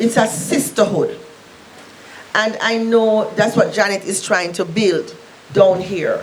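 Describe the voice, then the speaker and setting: Over noticeable background noise, a woman talks very slowly at a fairly high pitch with ordinary pitch variation. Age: 60s. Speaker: breast cancer survivor and support group speaker. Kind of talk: speech at a public symposium.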